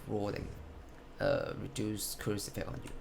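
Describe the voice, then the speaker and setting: With very wide pitch swings and a moderate pace, a man speaks in a room with audible echo. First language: not English. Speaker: gamer showing a build. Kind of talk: game build tutorial. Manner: halting, self-correcting.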